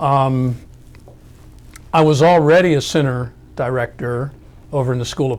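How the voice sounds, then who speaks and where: A moderate-paced man's voice of medium pitch with ordinary pitch variation. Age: 60s. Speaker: academic researcher. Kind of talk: oral history interview. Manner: conversational with fillers and repetitions.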